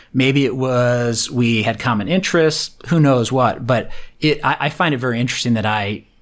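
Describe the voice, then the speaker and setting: An ordinary speaking voice with lively intonation, in a very clean recording with a silent background. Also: man. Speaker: tech entrepreneur and angel investor. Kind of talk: interview.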